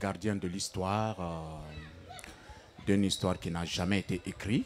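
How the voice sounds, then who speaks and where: A man's very deep, low voice. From Guinea. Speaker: griot. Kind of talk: interview answer.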